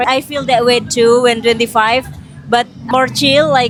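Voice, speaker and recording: A high-pitched woman with an Indonesian accent at a moderate pace, her intonation fairly even, with music in the background. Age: 30s. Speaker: podcast host. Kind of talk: casual chat.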